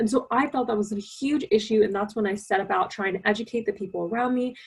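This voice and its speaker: The speaker has an American accent and a somewhat breathy voice. Delivery is very fast, with ordinary pitch variation. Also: woman. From US. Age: young. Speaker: youth climate activist. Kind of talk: presentation.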